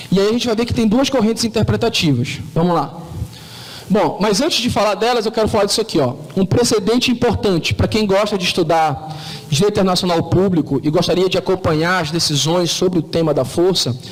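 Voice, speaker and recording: A man at a high pitch and fairly quick pace, with lively intonation, very even loudness and noticeable background noise. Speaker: law professor. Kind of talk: lecture. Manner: fast.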